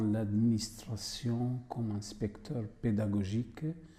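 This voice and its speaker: The pace is very slow. A man speaks in a dark, mellow tone. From Syria. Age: 50s. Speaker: migrant, former French teacher. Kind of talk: testimony.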